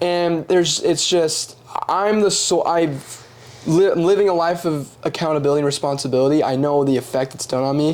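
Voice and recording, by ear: A man speaks at a moderate pace and a fairly high pitch. His tone is slightly mellow, his intonation fairly even.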